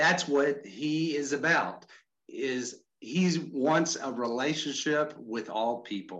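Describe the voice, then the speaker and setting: Speaking in a Texan accent at a very slow pace, a man has a fairly high pitch and ordinary pitch variation. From Texas, Houston area. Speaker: mission organization vice president, former pastor. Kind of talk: online training presentation. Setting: video call.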